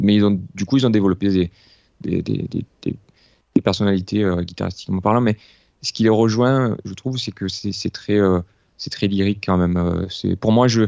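This is an ordinary speaking voice, a man's, pitched fairly low. He goes at a fairly slow pace with fairly even intonation. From Marseille area, southern France. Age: 30s. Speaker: guitarist. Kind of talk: casual interview.

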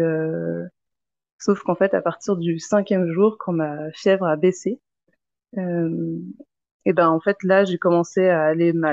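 Long, frequent pauses break up a woman's very slow speech. Her pitch is fairly low and her intonation fairly even. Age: 30s. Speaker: mother sharing birth experience. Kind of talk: testimony.

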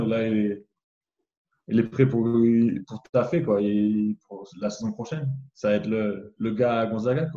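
A man's medium-pitched voice with a dark, mellow tone, a fairly slow pace and ordinary pitch variation. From France. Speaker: basketball draft prospect. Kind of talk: video interview.

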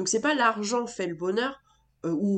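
Over a quiet background, a woman of medium pitch speaks with ordinary pitch variation. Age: 20s. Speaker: entrepreneur and business coach. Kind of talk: casual interview.

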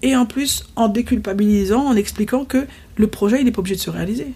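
At a moderate pace, a woman talks in a fairly high, somewhat breathy voice with a dark, mellow tone. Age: 40s. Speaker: entrepreneurship trainer and teacher, former lawyer. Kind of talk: casual interview. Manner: halting.

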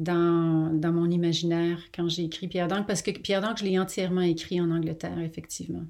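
A woman's fairly low voice, dark and mellow in tone, at a fairly quick pace with monotone, flat intonation. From Quebec. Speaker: novelist. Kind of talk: interview. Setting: remote call.

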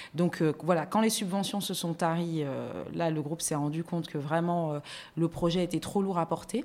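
A woman with an ordinary speaking voice talks at a fairly low pitch and a moderate pace with fairly even intonation. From France. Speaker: magazine editorial director and TV columnist. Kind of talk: casual interview.

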